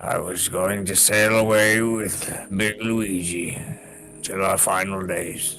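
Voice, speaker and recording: Putting on a gruff character voice, a man speaks at a fairly low pitch and a fairly slow pace over clear music in the background. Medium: actual play. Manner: gruff, profane.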